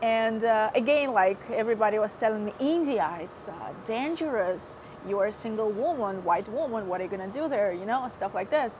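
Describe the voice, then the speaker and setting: At a fairly quick pace, a woman talks with lively intonation and a fairly high pitch. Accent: Russian. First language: Russian. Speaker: former TV host. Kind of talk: interview testimony. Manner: hesitant, many fillers.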